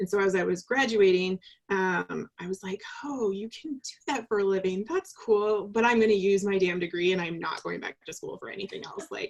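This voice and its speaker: Recorded dry and close with no echo, a woman with an American accent talks at a fairly quick pace in an ordinary speaking voice, her pitch medium with ordinary variation and her loudness swinging widely. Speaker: leadership coach. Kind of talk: casual interview. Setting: video call.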